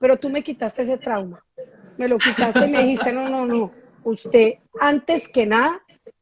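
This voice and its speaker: A woman speaks at a high pitch and a moderate pace with ordinary pitch variation. The sound is dry and close with no echo. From Colombia, Medellín (paisa). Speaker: entrepreneur and live-stream host. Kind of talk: casual interview chat on a live stream. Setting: live stream.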